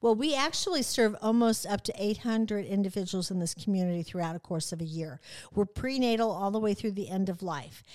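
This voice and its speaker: A woman with an American accent talks at medium pitch and a fairly quick pace, her intonation lively and her tone animated. The recording is very clean, with a silent background. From central Illinois, US Midwest. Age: 60s. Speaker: nonprofit CEO. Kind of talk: casual interview. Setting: studio.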